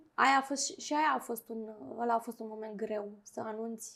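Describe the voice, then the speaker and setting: A plain, everyday voice from a woman, fairly high in pitch, fairly slow and fairly even in intonation. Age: 40s. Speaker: clinical psychologist. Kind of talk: interview.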